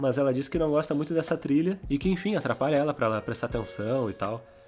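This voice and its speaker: A man talks at a very fast pace with lively intonation and medium pitch. Music plays in the background. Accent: Brazilian. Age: 20s. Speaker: podcast host. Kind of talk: casual monologue.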